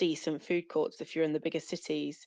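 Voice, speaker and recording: A woman with a British accent at a fairly quick pace, fairly even intonation, quiet background. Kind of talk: casual chat. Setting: audio chat space.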